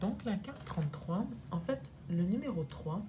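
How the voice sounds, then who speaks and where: Fairly slow speech from a woman, noticeable background noise all around. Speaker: energy therapist. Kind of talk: oracle card reading to camera.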